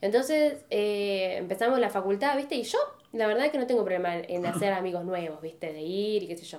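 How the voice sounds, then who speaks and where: With a normal speaking voice, a woman talks at a medium pitch. Her pace is fairly quick and her intonation lively. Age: 20s. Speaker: podcast co-host. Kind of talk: casual chat.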